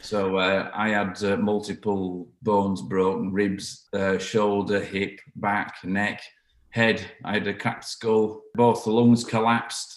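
In a Yorkshire accent, the voice keeps a fairly even intonation. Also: man. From northern England, South Yorkshire. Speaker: brass band musician. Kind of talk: interview. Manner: halting.

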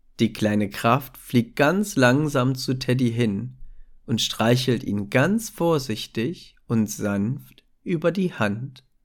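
Speaking at a very slow pace, a man uses a soothing tone and lively intonation at a medium pitch. The recording is very clean, with a silent background. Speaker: meditation narrator. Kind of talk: guided meditation for children. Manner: soft, slow, soothing; gentle, warm, child-friendly.

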